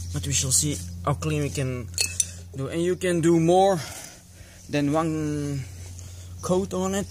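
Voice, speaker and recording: The speaker has a non-native accent and talks at a fairly slow pace. Noticeable background noise runs underneath. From Belgium. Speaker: motorcycle hobbyist YouTuber. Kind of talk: DIY tutorial. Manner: halting, many fillers.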